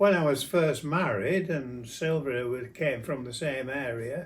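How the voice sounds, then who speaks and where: This man speaks with a Yorkshire accent. His pitch variation is ordinary. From South Yorkshire, England. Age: 90s. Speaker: grandfather interviewee. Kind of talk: casual interview. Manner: halting.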